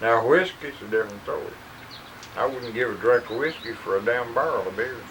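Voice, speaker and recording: Against noticeable background noise, a man with a Southern US accent talks at a fairly quick pace and medium pitch, with ordinary pitch variation and long, frequent pauses. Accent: Southern American. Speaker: World War II veteran; farmer. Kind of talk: casual conversation.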